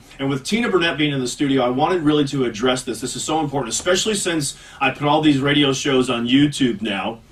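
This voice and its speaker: Against noticeable background noise, a man talks at a very fast pace with hardly any pauses, using a fairly high pitch and ordinary pitch variation. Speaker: radio host. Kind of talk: casual chat. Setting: studio.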